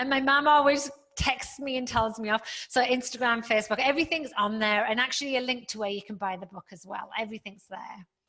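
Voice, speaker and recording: A woman with a British accent, high pitch and a bright, sharp tone, at a fairly quick pace with big swings in loudness. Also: ordinary pitch variation, hardly any pauses. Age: 50s. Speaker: fitness professional and author. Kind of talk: interview chat.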